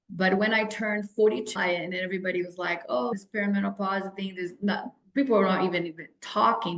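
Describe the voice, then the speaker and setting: This is a woman with a Brazilian Portuguese accent. Her pitch sits in the medium range. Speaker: health and fitness coach. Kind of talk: podcast interview. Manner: animated.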